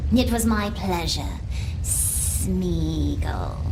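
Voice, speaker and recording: A put-on character voice over loud background noise. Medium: machinima. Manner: wry, archaic phrasing.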